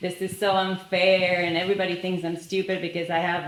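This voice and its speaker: The clip carries noticeable background noise along with audible room echo. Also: woman. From Argentina. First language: Spanish. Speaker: business leader. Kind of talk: panel discussion.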